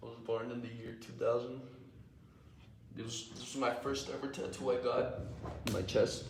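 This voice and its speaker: A man with an American accent speaks at a medium pitch, and the room echo is audible. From Texas. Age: 20s. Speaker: livestreamer and day trader. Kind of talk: casual live stream chat. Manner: casual, slangy.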